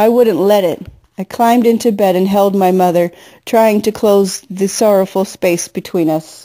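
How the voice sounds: Heard in the recording is a natural reading voice.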